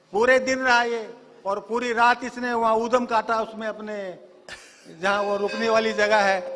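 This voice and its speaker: With noticeable background noise, a man speaks at a high pitch in a monotone, flat intonation. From Morena, Madhya Pradesh, India. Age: 70s. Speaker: devotee recounting son's healing. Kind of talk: testimony.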